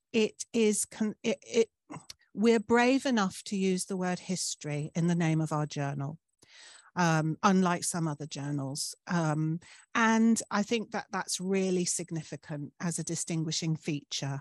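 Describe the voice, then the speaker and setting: Fairly slow, fairly low-pitched ordinary speaking voice of a woman, with ordinary pitch variation, dry sound with no echo and a quiet background. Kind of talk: presentation talk. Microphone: video call.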